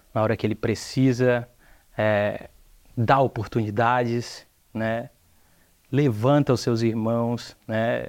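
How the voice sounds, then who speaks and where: Very slow, monotone speech from a man, flat in intonation, with long, frequent pauses on a very clean recording with a silent background. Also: medium pitch for a man. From Brazil, Ceará (Aracati). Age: young. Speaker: entrepreneur. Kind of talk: TV interview.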